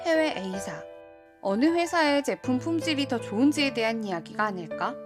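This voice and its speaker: Music plays in the background as a woman speaks. Her tone is calm and her pace moderate. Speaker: voice actor. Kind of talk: audiobook essay reading. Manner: calm, soft-spoken.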